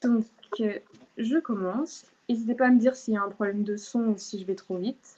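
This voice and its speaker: Her tone is dark, mellow and somewhat breathy, with ordinary pitch variation. The woman moves at a fairly quick pace but leaves long, frequent pauses. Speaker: law speaker giving a talk. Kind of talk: online lecture with slides. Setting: video call. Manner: hesitant, many fillers.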